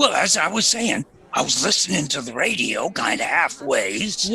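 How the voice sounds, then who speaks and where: A man puts on a raspy character voice with high pitch and very wide pitch swings, speaking at a moderate pace. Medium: audio drama. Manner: slow, hesitant, rambling.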